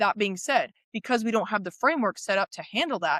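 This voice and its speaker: The sound is dry and close with no echo, on a very clean recording with a silent background. The tone is animated, with a fairly quick pace and ordinary pitch variation. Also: woman. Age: 20s. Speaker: guest on critical thinking. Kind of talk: casual interview chat. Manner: animated, stumbling restarts.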